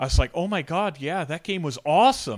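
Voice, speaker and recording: With a Canadian accent, a man speaks in a plain, everyday voice with lively intonation, on a very clean recording with a silent background. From Canada, Toronto area. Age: 40s. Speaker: teacher and gaming enthusiast. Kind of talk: casual chat.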